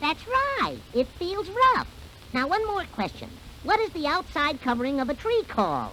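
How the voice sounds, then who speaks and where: In a put-on character voice with a high pitch, the speaker keeps a moderate pace against clear background noise. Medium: read story.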